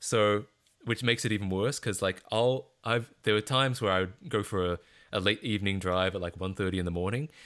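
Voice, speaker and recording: A man with an Australian accent talks at a fairly quick pace with a fairly low pitch and ordinary pitch variation. The recording is very clean, with a silent background. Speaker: streamer. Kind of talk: casual chat. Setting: live stream. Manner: halting, with fillers and repeats.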